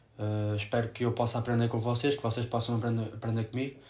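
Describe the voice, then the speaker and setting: Somewhat breathy, a man speaks with a European Portuguese accent. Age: 20s. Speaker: sports photographer; new youtuber. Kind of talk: vlog to camera. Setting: home room. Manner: halting. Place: home room. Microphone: camera far.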